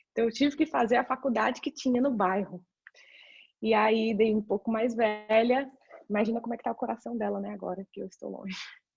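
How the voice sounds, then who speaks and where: Speaking at a fairly quick pace, a woman has a fairly high, somewhat breathy voice with fairly even intonation. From Brazil, São Paulo. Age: 30s. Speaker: career mentor. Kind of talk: presentation talk. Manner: halting.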